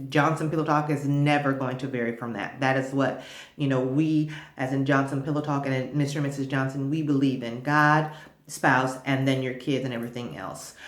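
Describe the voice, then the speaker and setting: Over audible room echo, a woman talks at a fairly quick pace in a very deep, low voice with monotone, flat intonation. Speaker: vlogger giving marriage advice. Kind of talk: casual advice monologue to camera. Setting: makeshift home studio. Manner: loud; halting with many repeats.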